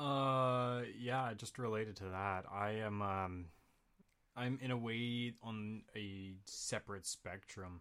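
A man with a Canadian accent speaks very slowly in a bright, sharp tone, his fairly low pitch held to fairly even intonation. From Winnipeg, Canada. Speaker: voice actor.

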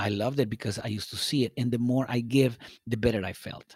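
Someone with a Spanish accent speaks at a fairly quick pace with fairly even intonation. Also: man. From Guatemala, Guatemala City. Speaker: salsa DJ. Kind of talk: casual chat. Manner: halting, many fillers.

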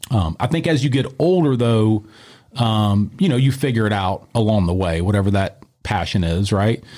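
A man's fairly low voice with a dark, mellow tone, very even loudness and a moderate pace. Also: lively intonation. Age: 40s. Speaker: martial arts gym owner and former MMA fighter. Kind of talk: casual interview. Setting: studio.

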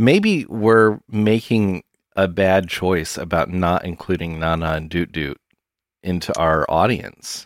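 Very slow, very deep and low male speech, its pitch variation ordinary. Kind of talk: casual chat. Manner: joking.

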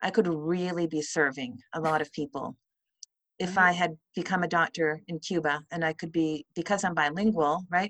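Over a quiet background, a woman with a plain, everyday voice speaks at a moderate pace in a fairly low pitch with fairly even intonation, the sound dry and close with no echo. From Vancouver, Canada (raised in Chilean exile community). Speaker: actor, playwright and author. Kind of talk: interview.

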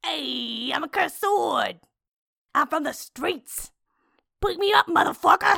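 A put-on character voice at an extremely high pitch, fairly slow in pace, with long, frequent pauses. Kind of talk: tough street slang. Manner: cocky, swaggering.

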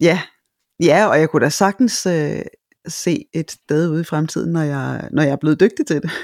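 A woman's very deep, low voice with vocal fry, at a fairly slow pace. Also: ordinary pitch variation, dry, close sound with no echo. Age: 50s. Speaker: voice-over speaker and teacher. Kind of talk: interview. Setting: studio. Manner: hesitant, many fillers.

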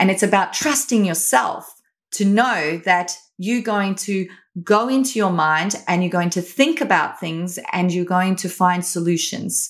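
Over a silent background in a very clean recording, a woman with a slight South African accent talks at medium pitch and a fairly slow pace. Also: ordinary pitch variation. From Australia. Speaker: company founder and educator. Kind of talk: interview.

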